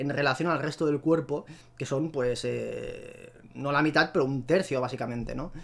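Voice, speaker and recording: His voice is fairly high in pitch. The man's pitch variation stays ordinary. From Spain. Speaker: YouTuber presenting paleoart. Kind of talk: casual video commentary. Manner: hesitant, with fillers and repetitions. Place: home room. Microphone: headset.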